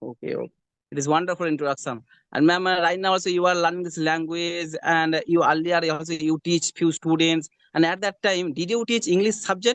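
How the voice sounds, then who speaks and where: The recording is dry and close with no echo and a quiet background, as a man with a high voice speaks at a fairly quick pace with fairly even intonation. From West Bengal, India. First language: Bengali. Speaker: hospital attendant, English learner. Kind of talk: English conversation practice. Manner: halting.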